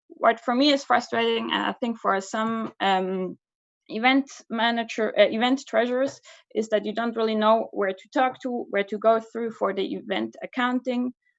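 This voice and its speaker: A woman speaks with a Swiss German accent at a fairly high pitch. The background is quiet. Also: ordinary pitch variation, moderate pace. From Switzerland, Basel. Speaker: student association officer. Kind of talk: candidacy speech. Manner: casual, hesitant.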